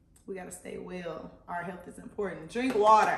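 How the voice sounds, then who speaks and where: A woman speaks at a medium pitch with ordinary pitch variation. Audible room echo surrounds her voice. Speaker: lifestyle vlogger. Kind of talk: casual vlog tutorial. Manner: animated.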